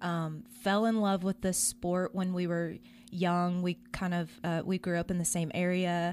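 At a fairly slow pace and a fairly low pitch, a woman speaks with monotone, flat intonation and very even loudness, on a very clean recording with a silent background. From Little Rock, Arkansas. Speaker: volleyball club founder and coach. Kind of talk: radio interview. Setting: radio studio.

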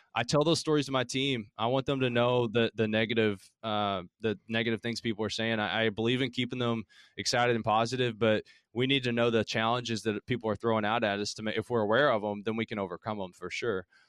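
Over a quiet background with a dry, close sound and no echo, a man with a Southern Appalachian accent talks at a very fast pace, at a medium pitch with fairly even intonation. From Appalachia, southeastern Kentucky. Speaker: startup founder. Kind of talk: casual interview chat.

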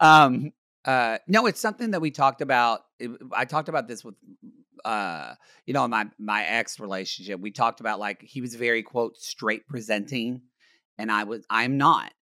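An animated man speaks at a medium pitch with ordinary pitch variation, a bright, sharp tone and big swings in loudness. The recording is very clean, with a silent background. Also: moderate pace, dry, close sound with no echo. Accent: American. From Oklahoma, US. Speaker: podcast co-host. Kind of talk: casual chat.

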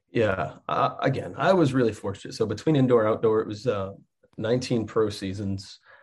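This man's voice is somewhat breathy, with a moderate pace and ordinary pitch variation. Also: medium pitch for a man. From Texas. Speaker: college soccer coach, former pro player. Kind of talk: podcast interview.

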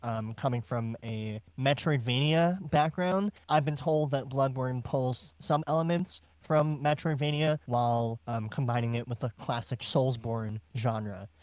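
In a very clean recording with a silent background, a man talks at a medium pitch with ordinary pitch variation. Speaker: podcast co-host, musician. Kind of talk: casual chat.

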